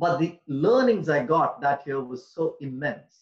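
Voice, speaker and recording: A man speaks with fairly high pitch. His pitch swings very widely. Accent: Tamil. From India. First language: Tamil. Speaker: public speaking trainer. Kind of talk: online workshop presentation.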